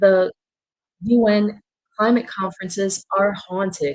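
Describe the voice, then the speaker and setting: A woman speaks at a very slow pace with a somewhat breathy voice. Her pitch is medium, with ordinary pitch variation. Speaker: journalist. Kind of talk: webinar presentation.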